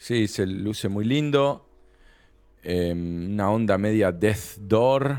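With a Rioplatense accent, a man of fairly low pitch speaks at a very slow pace with ordinary pitch variation. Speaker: video game podcast co-host. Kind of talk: casual chat.

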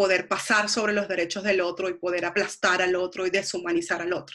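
The woman's voice has a bright, sharp tone. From Venezuela. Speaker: psychologist. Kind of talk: casual interview.

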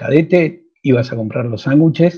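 A man talks with ordinary pitch variation. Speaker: magazine journalist. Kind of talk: interview.

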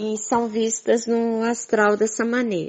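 A woman's fairly high voice at a very slow pace. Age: 60s. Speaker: spiritual teacher. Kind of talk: monologue to followers.

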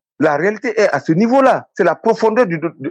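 This is a man speaking. His pace is fairly quick. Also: dry, close sound with no echo. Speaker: sports consultant. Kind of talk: radio interview. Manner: animated.

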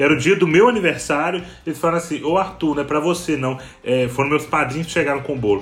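Talking very fast in an animated tone, a man with a fairly high voice shows ordinary pitch variation over noticeable background noise. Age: 20s. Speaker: podcast host. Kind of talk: casual chat.

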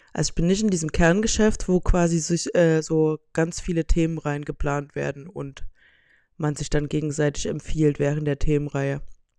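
A woman's very deep, low voice, dark and mellow in tone, at a moderate pace. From Saxony, Saxon Switzerland. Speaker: podcast host. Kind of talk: casual monologue.

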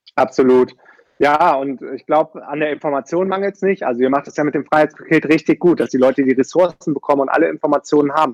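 In a dry, close sound with no echo, a man talks at a very fast pace with a fairly high pitch and fairly even intonation. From Germany, Düsseldorf. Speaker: online entrepreneur. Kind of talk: interview.

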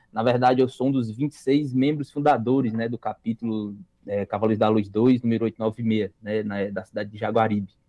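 At a moderate pace, a man with a Ceará accent speaks at a medium pitch with fairly even intonation. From Brazil, interior of Ceará. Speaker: youth organization national leader. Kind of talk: casual chat. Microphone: lagging connection.

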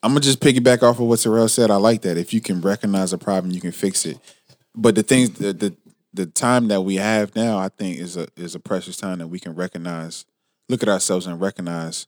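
A man with an unremarkable speaking voice talks fairly quickly at a fairly low pitch, with ordinary pitch variation. His loudness swings widely. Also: dry, close sound with no echo, very clean recording, silent background. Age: 20s. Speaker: rapper and podcast co-host. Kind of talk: casual chat.

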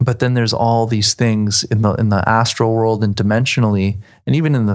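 Over a quiet background, a man speaks with fairly even intonation, a fairly low pitch and an unremarkable speaking voice. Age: 30s. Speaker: astral traveler. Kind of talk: interview.

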